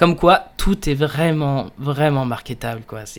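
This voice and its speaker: A man's voice at a fairly high pitch. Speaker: podcaster and illustrator. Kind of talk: casual solo monologue. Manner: hesitant, many fillers. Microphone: new USB microphone.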